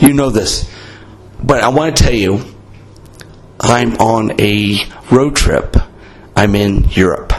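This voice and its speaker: Very slow speech from a man with an American accent, medium in pitch with ordinary pitch variation, long and frequent pauses, and noticeable background noise. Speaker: podcast host. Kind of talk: casual chat, beer talk. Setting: in-person with friends in a bar in Italy. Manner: casual, profane, talkative.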